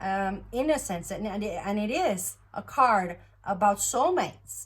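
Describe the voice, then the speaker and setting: The speaker uses vocal fry and talks at a fairly slow pace. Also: woman, medium pitch for a woman. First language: Norwegian. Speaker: tarot reader. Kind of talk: tarot reading monologue. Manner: halting, many fillers.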